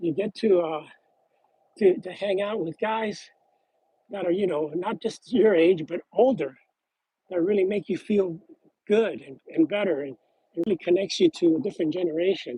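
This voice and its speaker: Pausing long and often, a man with a high pitch and a dark, mellow tone talks at a moderate pace with ordinary pitch variation, in a dry, close sound with no echo. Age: 60s. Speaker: card collector vlogger. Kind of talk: casual chat. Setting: outdoors. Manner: halting.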